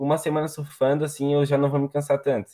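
The voice belongs to a man. It sits at a fairly high pitch. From Santa Catarina, Brazil (Palmas, near Florianópolis). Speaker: surfer. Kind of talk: casual chat.

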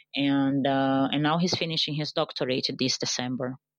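The speaker has a Portuguese accent and fairly even intonation. The sound is dry and close with no echo, over a quiet background. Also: woman. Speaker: digital marketing strategist. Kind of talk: interview.

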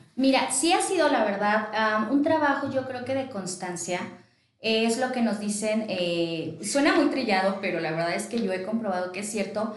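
A woman with a fairly high voice speaks at a moderate pace with lively intonation. Audible room echo and noticeable background noise surround her. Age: 30s. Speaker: entrepreneur. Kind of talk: interview.

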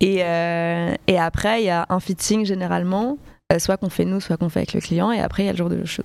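Using an ordinary speaking voice, a woman talks at a fairly quick pace and a fairly low pitch with fairly even intonation. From Paris, France. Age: 20s. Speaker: fashion designer. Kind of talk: casual interview.

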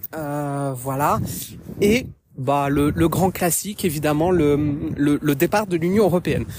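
Very deep and low in pitch, a woman talks at a very slow pace with ordinary pitch variation and long, frequent pauses. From France. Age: 30s. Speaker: podcaster. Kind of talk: personal commentary monologue. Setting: outdoors, walking in woods.

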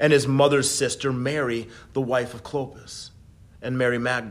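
With a plain, everyday voice, a man speaks at a medium pitch and fairly even intonation. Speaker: worship leader. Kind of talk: Good Friday meditation and prayer, read aloud. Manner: slow, hushed and reverent, fervent; gentle, measured, with long pauses.

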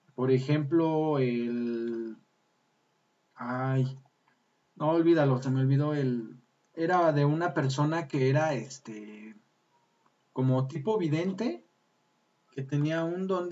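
The speech moves at a very slow pace, broken by long, frequent pauses. Pitch varies in an ordinary way. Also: man, fairly high pitch for a man. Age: 30s. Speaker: podcast host. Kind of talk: casual chat. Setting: live stream.

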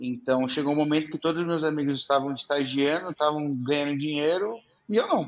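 This man has an ordinary speaking voice, pitched fairly high. He talks at a fairly quick pace with ordinary pitch variation. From interior of São Paulo state, Brazil. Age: 20s. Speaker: startup founder. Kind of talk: casual interview chat.

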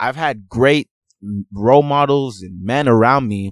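Speaking at a moderate pace with an animated tone, a man with an American accent uses a medium pitch in a very clean recording with a silent background. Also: dry, close sound with no echo. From Houston, Texas, partly raised abroad; Nigerian family. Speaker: podcast co-host. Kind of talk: casual chat.

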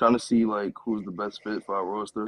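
A very fast man with a New York accent, fairly low in pitch, in dry, close sound with no echo. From Brooklyn, New York. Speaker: esports pro gamer. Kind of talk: casual interview.

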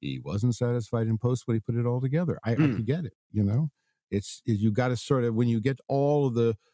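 In an American accent, a man speaks at a moderate pace and medium pitch with ordinary pitch variation. His tone is dark and mellow, and the sound is dry and close with no echo. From Southern California. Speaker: actor. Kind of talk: casual interview, anecdotes. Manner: animated storyteller.

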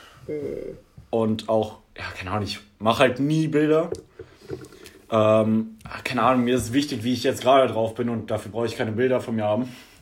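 Over noticeable background noise and audible room echo, a man talks at a moderate pace and medium pitch, with ordinary pitch variation and long, frequent pauses. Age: 20s. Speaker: podcast co-host, IT trainee. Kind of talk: casual chat.

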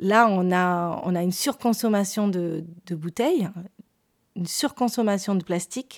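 This recording is very clean, against a silent background. A woman talks at a medium pitch, her pitch variation ordinary. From southern France, Perpignan. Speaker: painter. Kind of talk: interview storytelling. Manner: hesitant, with fillers and repetitions.

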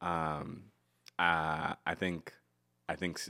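Very deep and low, a man's voice comes through. The recording is very clean, with a silent background. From Connecticut. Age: 20s. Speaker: stand-up comedian. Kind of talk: casual chat.

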